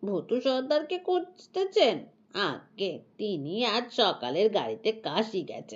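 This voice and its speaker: A woman's put-on character voice, very slow, with very wide pitch swings. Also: fairly high pitch for a woman. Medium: read story. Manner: humble, deferential.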